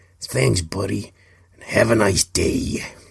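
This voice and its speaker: The voice is a put-on character voice from a man. It sits at a fairly low pitch. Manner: exaggerated, jovial.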